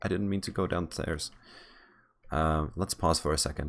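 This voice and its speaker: With vocal fry, a man talks fairly quickly in a very deep, low pitch. His pitch varies in an ordinary way. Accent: Czech. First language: Czech. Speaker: software developer vlogger. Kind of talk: casual vlog while gaming. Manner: halting, many fillers and restarts.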